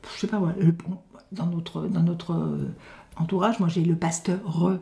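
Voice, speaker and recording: A woman's fairly low-pitched voice comes across as somewhat breathy. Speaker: grandmother. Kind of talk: interview answer.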